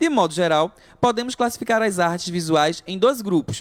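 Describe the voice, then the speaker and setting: Delivery stays at a moderate pace, carried by lively intonation. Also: man. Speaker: art teacher. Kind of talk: online lesson. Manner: halting, many self-corrections.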